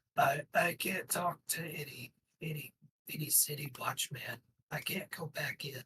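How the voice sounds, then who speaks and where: A put-on character voice, raspy in texture. The pace is moderate. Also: man, fairly high pitch for a man. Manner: intimate, nervous.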